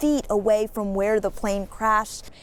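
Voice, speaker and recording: Noticeable noise is present in the background. The words come at a moderate speed. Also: woman. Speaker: TV news reporter and fill-in anchor. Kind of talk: broadcast news voiceover and live shot delivery. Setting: TV news field reporting.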